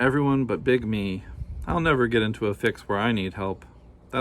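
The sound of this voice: Reading in an unforced voice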